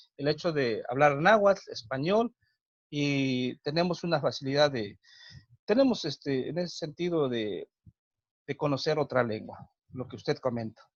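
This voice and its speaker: This man has a Mexican accent and a fairly high pitch. His intonation is lively and his pace moderate. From Mexico, Huasteca region of Hidalgo. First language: Nahuatl (speaking Spanish). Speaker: teacher and cultural promoter. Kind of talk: interview. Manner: hesitant, many fillers.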